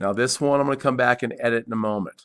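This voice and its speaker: On a very clean recording with a silent background, a man speaks in an ordinary speaking voice at a fairly quick pace with fairly even intonation. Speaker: CAD instructor. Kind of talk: tutorial.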